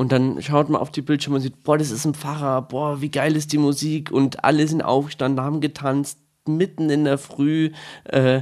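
The intonation is monotone and flat, at a moderate pace. The background is quiet. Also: man. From Bavaria, Bad Tölz. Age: 20s. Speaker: altar server, incoming teacher-training student. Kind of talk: casual interview.

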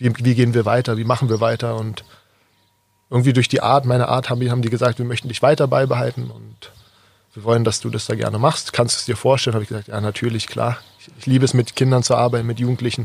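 In a monotone, flat delivery, a man of medium pitch speaks very fast and somewhat breathily, with big swings in loudness. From Berlin (Kreuzberg), Germany. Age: 20s. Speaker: basketball player and coach. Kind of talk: interview. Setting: outdoors on a garden terrace.

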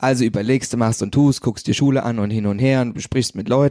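In a very clean, dry, close recording with a silent background and no echo, a man speaks in a plain, everyday voice at medium pitch with ordinary pitch variation. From Hesse, Wetterau. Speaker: graphic designer. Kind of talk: casual chat.

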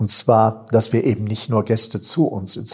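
A somewhat breathy male voice. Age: 50s. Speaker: seminary director, priest. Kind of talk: interview conversation. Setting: seminary building.

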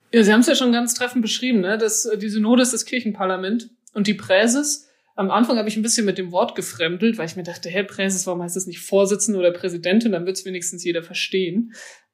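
Speaking at a very fast pace, a woman uses a medium pitch. Her pitch varies in an ordinary way. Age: 20s. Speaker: church synod president. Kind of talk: interview. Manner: casual, many filler words.

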